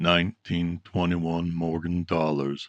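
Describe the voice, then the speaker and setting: The speaker uses a put-on character voice with monotone, flat intonation at a fairly slow pace. The sound is dry and close, with no echo. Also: man. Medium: read story. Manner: calm, polished, deliberate.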